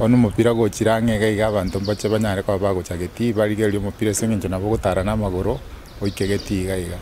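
Over faint background noise, a man speaks at a very fast pace with a fairly low pitch, a dark, mellow tone and fairly even intonation.

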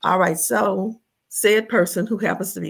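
Against a quiet background, a woman talks with vocal fry. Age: 70s. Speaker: expat living in Jamaica; interview guest. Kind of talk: casual interview. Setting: video call. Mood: relaxed, amused storytelling. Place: home room.

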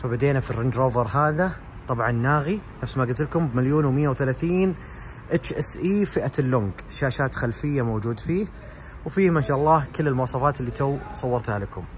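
Light background noise sits under a man talking at a moderate pace with ordinary pitch variation. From Saudi Arabia. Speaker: car reviewer. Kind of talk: car showroom walkthrough. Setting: car showroom. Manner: animated. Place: shop. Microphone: phone near.

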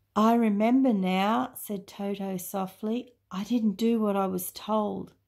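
This plain reading aloud keeps its intonation fairly even.

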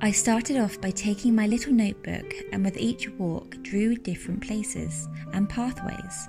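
A woman speaks at a moderate pace with hardly any pauses. Music plays in the background. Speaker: woodland forager and pagan/witch content creator. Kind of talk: casual talk to camera, relaxing vlog narration.

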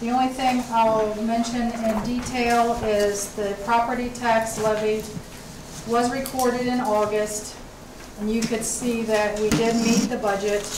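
Noticeable background noise sits behind a woman speaking. Her pace is fairly slow and her intonation monotone and flat. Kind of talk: formal report at a public meeting. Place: meeting room.

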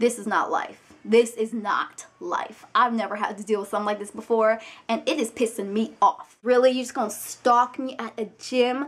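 A woman's fairly high, animated voice at a moderate pace with hardly any pauses. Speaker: vlogger. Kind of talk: angry rant; casual vlog. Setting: video blog, alone on camera. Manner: animated, indignant, sassy, profane. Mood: annoyed, exasperated. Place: home room. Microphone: webcam.

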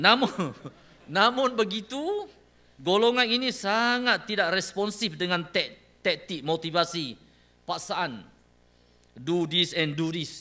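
A man with a high pitch and a raised, projected voice speaks very slowly in a bright, sharp tone, leaving long, frequent pauses. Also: lively intonation. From Malaysia. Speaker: government department director. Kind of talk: official opening speech. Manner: formal. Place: hall. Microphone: podium.

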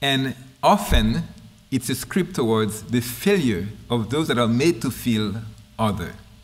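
Lively intonation runs through this fairly slow, fry-tinged voice with a Haitian accent, broken by long, frequent pauses. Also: man, medium pitch for a man. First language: Haitian Creole. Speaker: linguistics professor. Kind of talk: lecture. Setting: stage with audience. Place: hall. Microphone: podium.

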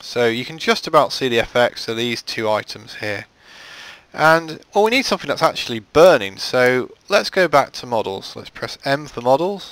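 Speaking at a moderate pace in a British accent, a man with a fairly high pitch swings widely in both pitch and loudness. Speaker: game modding tutorial creator. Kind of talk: tutorial. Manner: casual with frequent filler words.

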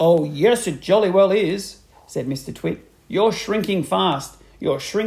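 The reader uses a natural voice and lively intonation while reading aloud.

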